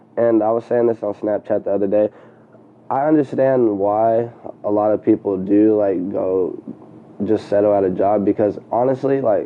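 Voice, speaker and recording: A plain, everyday voice: a man with an American accent, fairly even intonation and a moderate pace. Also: fairly low pitch for a man. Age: 20s. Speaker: entrepreneur, clothing designer and photographer. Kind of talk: casual interview chat.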